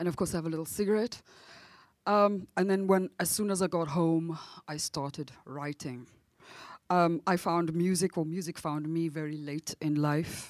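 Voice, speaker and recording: In a dry recording with no echo and a quiet background, a woman speaks at a moderate pace with a fairly low pitch and fairly even intonation. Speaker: jazz singer; panelist. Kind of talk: panel talk. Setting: stage with audience. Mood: reflective, emotional. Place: stage. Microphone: handheld.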